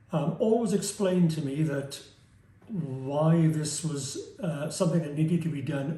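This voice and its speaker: A man speaks at a fairly slow pace with a fairly high pitch and ordinary pitch variation. His tone is dark and mellow, with audible room echo. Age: 70s. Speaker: surgery patient. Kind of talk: testimony. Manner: halting.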